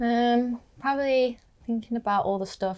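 A woman at a moderate pace. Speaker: voiceover agent. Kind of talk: casual interview chat.

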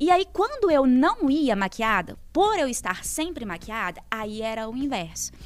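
The voice moves at a fairly slow pace with very wide pitch swings, and there is noticeable background noise. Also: woman, high pitch for a woman. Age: 20s. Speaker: journalist. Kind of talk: casual chat. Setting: studio.

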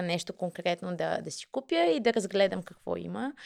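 A woman talks at a moderate pace and medium pitch in an unremarkable speaking voice. The recording is very clean with a silent background, and the sound is dry and close with no echo. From Bulgaria, Kyustendil. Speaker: marketing manager. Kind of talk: interview.

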